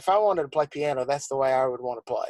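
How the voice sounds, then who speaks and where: Here a man speaks with a fairly high pitch. The sound is dry and close, with no echo. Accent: Southern. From South Carolina. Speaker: church musician and arranger. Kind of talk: interview.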